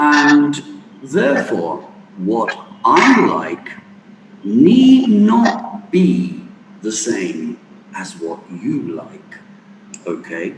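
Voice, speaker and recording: A man with a British accent speaks very slowly, with long, frequent pauses and big swings in loudness. The recording has audible room echo and noticeable background noise. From England. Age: 60s. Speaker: guest lecturer. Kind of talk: lecture. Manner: animated.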